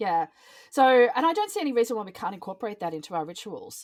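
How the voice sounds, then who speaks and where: With lively intonation and an Australian accent, a woman speaks in a dry, close sound with no echo. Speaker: ritualist and singer-songwriter. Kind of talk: casual chat. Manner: frequent ums and hesitations.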